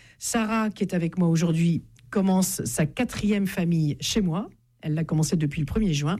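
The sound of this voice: Her tone is dark and mellow, and her pitch fairly low. The woman talks at a moderate pace with ordinary pitch variation.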